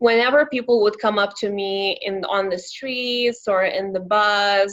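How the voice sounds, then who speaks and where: A fairly slow voice with a Lithuanian accent and fairly even intonation, on a very clean recording with a silent background. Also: woman, medium pitch for a woman. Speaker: young professional. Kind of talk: interview. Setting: podcast.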